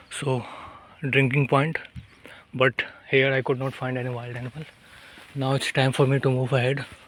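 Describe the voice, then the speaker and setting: Over noticeable background noise, a man talks at a moderate pace and medium pitch in a flat monotone, leaving long, frequent pauses. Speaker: nature vlogger. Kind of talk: walking vlog narration. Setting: outdoors in forest. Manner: quiet, speaking softly.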